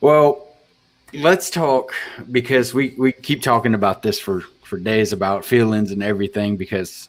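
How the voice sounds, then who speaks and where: At a moderate pace, a man talks in a normal speaking voice with lively intonation. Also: medium pitch for a man. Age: 30s. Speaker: podcast host. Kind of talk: casual chat.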